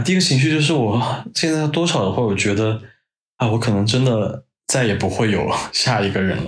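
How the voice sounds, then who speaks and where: A man at a medium pitch, with very wide pitch swings, very even loudness and a moderate pace. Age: 30s. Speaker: podcast guest, host's longtime friend. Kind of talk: casual chat.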